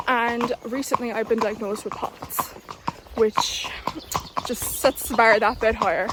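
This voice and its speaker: In a southern Irish accent, a woman with a fairly high pitch talks at a fairly slow pace with fairly even intonation over noticeable background noise. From southern Ireland. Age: 20s. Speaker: equestrian vlogger. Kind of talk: casual vlog.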